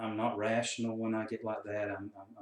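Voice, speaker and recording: In a Southern US accent, a man with a fairly low voice speaks at a moderate pace. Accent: Southern US country. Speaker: counselor and coach. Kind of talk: casual talk to camera.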